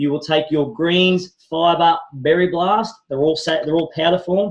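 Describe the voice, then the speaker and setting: A man talks with a high pitch. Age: 40s. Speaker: wellness product presenter. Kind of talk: sales pitch. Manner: fast; animated.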